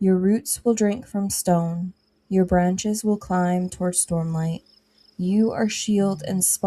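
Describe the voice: Quiet surroundings, fairly even intonation, and plain reading aloud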